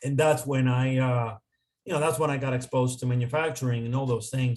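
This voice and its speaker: This man's voice sits at a medium pitch, with a Spanish accent, a somewhat breathy quality, and flat, monotone intonation. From Dominican Republic. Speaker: consultant. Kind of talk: interview.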